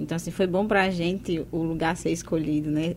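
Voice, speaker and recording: A woman talks at a fairly quick pace in a fairly low pitch. Her intonation is fairly even, an unremarkable speaking voice. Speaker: educator. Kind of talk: radio interview.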